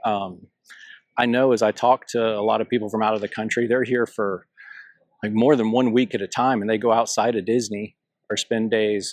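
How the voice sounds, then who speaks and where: The speaker has a Southern US accent and monotone, flat intonation. Delivery is at a moderate pace, with a dry, close sound and no echo. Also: man, medium pitch for a man. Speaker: travel vlogger. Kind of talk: walking tour vlog. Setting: outdoors. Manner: casual, conversational.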